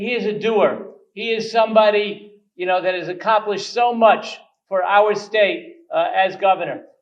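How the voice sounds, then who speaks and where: A high-pitched man in a New York accent, moderate in pace, with ordinary pitch variation. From New York, Queens. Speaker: state legislator. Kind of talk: speech.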